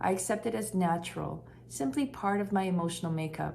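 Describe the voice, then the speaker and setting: Speaking at a moderate pace, a woman has a Canadian accent and a fairly low pitch. Room echo is audible. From western Canada, Vancouver. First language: Korean. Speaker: translator and writer. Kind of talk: reading aloud.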